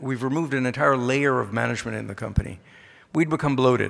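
On a very clean recording with a silent background, a man talks at a very fast pace in a medium pitch, with fairly even intonation and vocal fry. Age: 50s. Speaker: mining company executive chairman. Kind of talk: conference speech. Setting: stage with audience.

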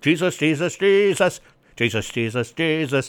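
A man's put-on character voice, fairly high-pitched for a man, with lively intonation. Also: moderate pace. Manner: mocking, repeating the name in rhythm.

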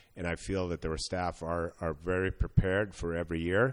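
With a Swedish accent, a man speaks in a very deep, low pitch over a quiet background. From Sweden. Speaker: hockey scouting director. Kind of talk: interview. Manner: halting, many fillers.

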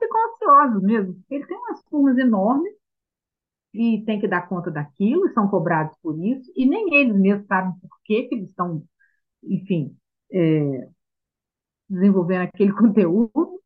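A woman with a fairly high pitch speaks at a moderate pace, using very wide pitch swings, big swings in loudness and long, frequent pauses. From Minas Gerais, Brazil. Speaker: homeschooling mother, trained pedagogue. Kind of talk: interview.

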